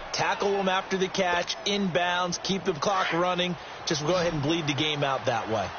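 Pitched high, a man talks at a moderate pace with ordinary pitch variation. Background noise is noticeable. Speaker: football color commentator. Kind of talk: live sports commentary.

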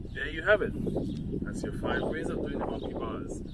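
Loud background noise behind a man's dry, echo-free voice. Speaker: fitness video host. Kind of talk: casual vlog chat. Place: open country.

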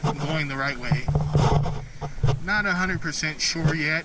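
Loud background noise surrounds a man who speaks at a very slow pace. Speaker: exploration vlogger. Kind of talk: casual vlog chat. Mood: slightly uneasy, unsure. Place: open country. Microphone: phone near.

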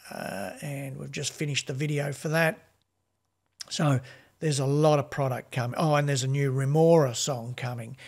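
A man speaks with an Australian accent in a fairly high pitch, somewhat breathy. His intonation is fairly even against a quiet background. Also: moderate pace. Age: 60s. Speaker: music label owner and podcast co-host; podcast co-host. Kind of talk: casual chat. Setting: video call. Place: home room. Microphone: studio mic.

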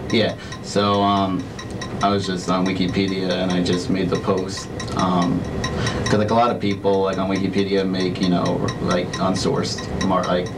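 A man talks at a moderate pace with long, frequent pauses. Music plays in the background. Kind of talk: interview answer. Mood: nervous, apologetic. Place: meeting room.

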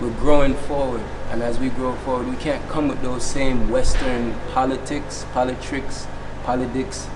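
With a Jamaican accent, a man talks at a moderate pace. Background noise is noticeable. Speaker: chanter, reggae-style musician. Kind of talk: interview answer. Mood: calm, confident, preaching tone.

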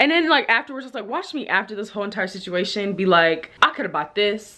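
A woman talks very fast, her pitch swinging very widely. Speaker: vlogger. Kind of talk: casual vlog chat. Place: home room. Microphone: phone near.

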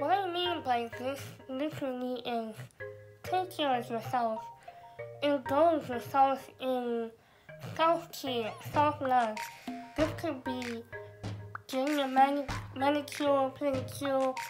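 A woman with a high-pitched voice speaks at a very slow pace with long, frequent pauses and ordinary pitch variation, while music plays clearly in the background. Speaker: vlogger. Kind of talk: casual advice vlog. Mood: earnest, encouraging. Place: home room. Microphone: phone near.

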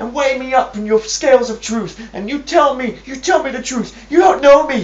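The speech moves at a moderate pace, with music in the background and audible room echo. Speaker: comic character, a zealous preacher. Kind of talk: comedy sketch monologue. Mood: ends in an angry outburst. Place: home room. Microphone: webcam.

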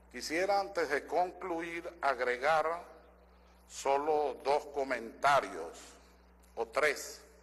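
A man speaks very slowly with long, frequent pauses and ordinary pitch variation. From Venezuela. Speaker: constitutional lawyer and assembly member; constitutional lawyer. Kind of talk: parliamentary speech. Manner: formal. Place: hall. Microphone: podium.

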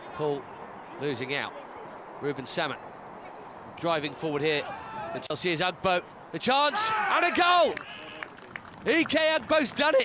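A man talks in a raised, projected voice that sits high for a man, his animated tone sweeping through very wide pitch swings at a fairly slow pace with long, frequent pauses, all over noticeable background noise. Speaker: football commentator. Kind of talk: live football commentary. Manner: animated, rising with each goal.

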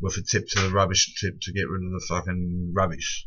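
There is light background noise as a man talks in an Australian accent. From Victoria, Australia. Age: 30s. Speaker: self-represented court litigant, vlogger. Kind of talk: angry late-night rant. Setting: late at night, self-recorded video. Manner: aggrieved, swearing heavily, ranting; rambling, filler-heavy. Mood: aggrieved, angry. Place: home room. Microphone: webcam.

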